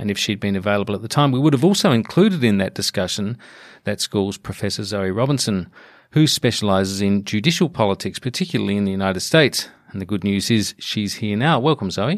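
With an Australian accent, a man talks at a very fast pace. His fairly low voice has lively intonation. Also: very clean recording, silent background. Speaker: podcast host. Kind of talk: interview discussion.

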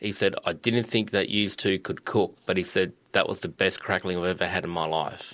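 Speaking at a fairly quick pace, a man with an Australian accent has a fairly low pitch and a bright, sharp tone. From Sunshine Coast, Queensland, Australia. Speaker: butcher and sales manager. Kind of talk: casual interview.

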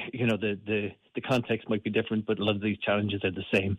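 With a Limerick accent, this man speaks in a fairly low pitch and a monotone, flat intonation. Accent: Irish (Limerick). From Ireland, Limerick. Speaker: aid worker. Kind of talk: radio interview. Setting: phone call. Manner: halting, many fillers.

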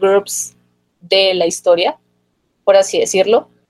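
At a moderate pace, a woman talks at a medium pitch, the sound dry and close with no echo. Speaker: podcast co-host. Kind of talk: casual chat. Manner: animated.

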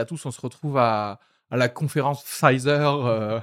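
In a very clean recording with a silent background, a man speaks in an ordinary speaking voice at medium pitch with ordinary pitch variation. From outside France, moved to France as a child. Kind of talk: casual chat.

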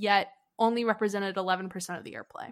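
A woman with an American accent and a medium pitch speaks in a normal speaking voice, captured in a very clean recording with a silent background. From US South, Nashville. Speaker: music journalist and musician. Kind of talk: casual chat.

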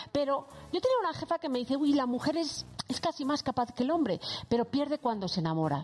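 A woman's high voice racing at a very fast pace with very wide pitch swings, against noticeable background noise. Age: 40s. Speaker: psychologist. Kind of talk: casual chat.

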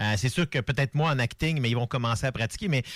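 The voice has a Quebec accent and is somewhat breathy. The pace is very fast, with ordinary pitch variation. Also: man. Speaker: TV columnist.

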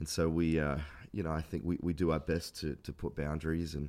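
Using vocal fry, a man with an Australian accent speaks at a moderate pace in a very deep, low pitch. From Australia, Adelaide. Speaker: pastor. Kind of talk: interview.

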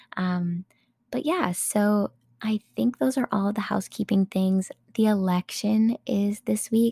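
A somewhat breathy, dark, mellow tone at a fairly slow pace with ordinary pitch variation and a dry, close sound with no echo. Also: woman. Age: 20s. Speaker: podcast host. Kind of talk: casual chat.

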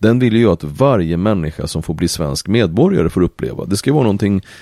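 A man with a fairly low pitch and a dark, mellow tone speaks at a fairly quick pace in a dry, close sound with no echo. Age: 70s. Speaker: entrepreneur and politician. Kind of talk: casual chat. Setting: on a boat.

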